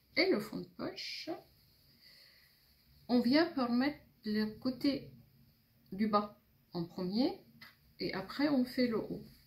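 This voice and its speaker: Lively intonation at a very slow pace. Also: woman, long, frequent pauses. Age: 60s. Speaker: seamstress. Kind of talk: tutorial.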